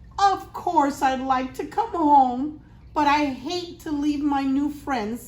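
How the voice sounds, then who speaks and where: Using a put-on character voice, a woman speaks at a fairly slow pace in a high pitch. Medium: read story.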